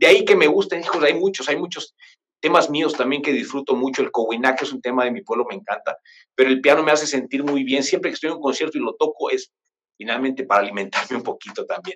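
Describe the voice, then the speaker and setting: This man talks at a very fast pace. He speaks with a Mexican accent. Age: 40s. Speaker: pianist. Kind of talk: interview. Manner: halting, many fillers.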